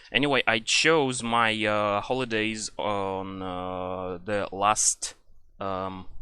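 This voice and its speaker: With a Russian accent, a man speaks at a very slow pace in a fairly low pitch, using a bright, sharp tone and ordinary pitch variation over a quiet background. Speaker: gaming YouTuber. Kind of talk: casual rant. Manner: halting, many fillers.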